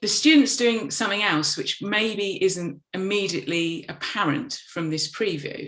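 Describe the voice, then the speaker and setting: A woman of medium pitch talks with lively intonation and hardly any pauses, with noticeable background noise present. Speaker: animation teacher. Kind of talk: presentation. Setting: video call. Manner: fast; hesitant, many fillers.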